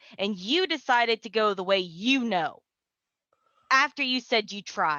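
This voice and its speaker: Putting on a character voice, a woman growls in an angry tone at a fairly high pitch. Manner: growling, angry, hurt.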